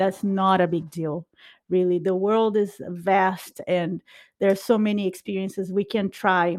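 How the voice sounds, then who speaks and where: With a Brazilian accent, a woman of medium pitch speaks at a fairly slow pace against a quiet background. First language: Portuguese. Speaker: podcast host. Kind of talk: casual chat. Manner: playful, laughs often.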